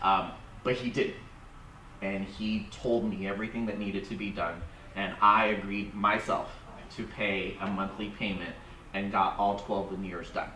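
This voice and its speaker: This man speaks at a moderate pace in a fairly low, monotone, flat voice, with long, frequent pauses. The room echo is audible and background noise is noticeable. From Vietnam, raised in United States. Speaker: dental industry professional. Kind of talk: audience comment at seminar.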